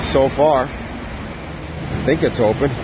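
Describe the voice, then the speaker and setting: There is noticeable background noise as a man speaks in a dry sound with no echo. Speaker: walking vlogger. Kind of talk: casual vlog commentary. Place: street. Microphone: phone near.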